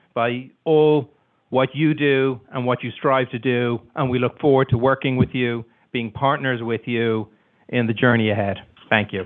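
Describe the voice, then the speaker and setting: In an Irish accent, the speaker goes at a moderate pace with fairly even intonation. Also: man, medium pitch for a man. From Ireland. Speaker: community organization executive. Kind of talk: formal welcome speech.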